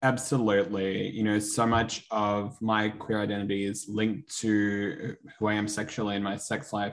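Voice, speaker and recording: This man talks with an Australian accent. His pace is fairly quick and his intonation fairly even. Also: hardly any pauses. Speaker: medical student. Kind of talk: interview.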